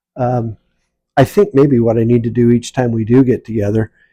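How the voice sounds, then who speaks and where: With a Midwestern US accent, a man speaks in a dark, mellow tone with ordinary pitch variation, in a very clean recording with a silent background and a dry, close sound with no echo. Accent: US Midwest. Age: 60s. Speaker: retired vlogger. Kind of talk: casual vlog monologue. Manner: hesitant, many fillers. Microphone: no microphone, camera mic.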